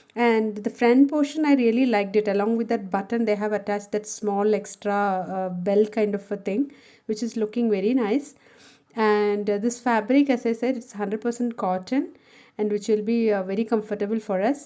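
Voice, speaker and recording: A woman with a Keralan accent talks at a moderate pace in a dark, mellow tone, her fairly high pitch and fairly even intonation set against a quiet background. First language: Malayalam. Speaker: homemaker and office worker. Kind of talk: casual haul video talk to camera.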